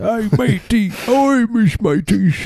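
A put-on character voice with a Cockney accent is pitched fairly high. Light background noise is present. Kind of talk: casual, slangy.

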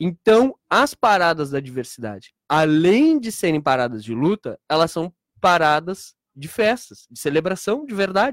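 Recorded very cleanly against a silent background with a dry, close sound and no echo, a man with a high pitch talks at a fairly slow pace, his pitch swinging very widely and his loudness swinging a lot. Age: 30s. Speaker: historian and LGBT event organizer. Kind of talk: radio interview. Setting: radio studio. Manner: halting, repeats words.

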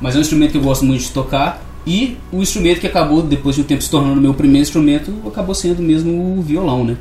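A man's fairly high voice at a very fast pace, hardly any pauses, ordinary pitch variation, and noticeable background noise. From Brazil, Minas Gerais (Barbacena). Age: 20s. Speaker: musician. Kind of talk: radio interview. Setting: studio.

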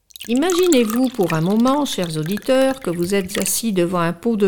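Very wide pitch swings in a woman's fairly high voice, with noticeable background noise behind it. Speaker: radio reader of tales. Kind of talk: dramatic narration of a read-aloud tale, in the voice of an old villager. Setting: hospital radio studio. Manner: expressive, storytelling tone, slow and suspenseful.

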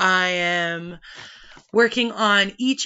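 A woman with a Western Canadian accent speaks at medium pitch. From British Columbia, Canada. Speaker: podcast host. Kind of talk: personal monologue.

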